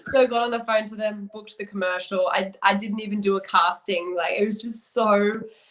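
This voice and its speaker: Hardly pausing, a woman with an Australian accent speaks at a fairly quick pace and medium pitch, with big swings in loudness over noticeable background noise. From Australia, Brisbane. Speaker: model and actress. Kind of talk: interview chat. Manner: animated.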